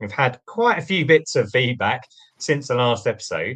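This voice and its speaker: A man talks with a British accent. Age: 40s. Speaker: podcast host. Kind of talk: podcast outro. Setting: studio.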